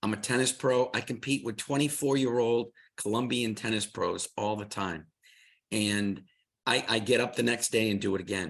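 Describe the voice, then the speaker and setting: An ordinary speaking voice with ordinary pitch variation at a moderate pace over a quiet background. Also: man, medium pitch for a man. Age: 60s. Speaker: tennis pro and product presenter. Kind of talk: product presentation.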